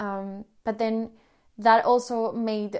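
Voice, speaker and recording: With a Spanish accent, a woman speaks at a fairly high pitch. Her tone is dark and mellow. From Colombia. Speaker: podcast host. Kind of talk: personal storytelling monologue. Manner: hesitant, many fillers.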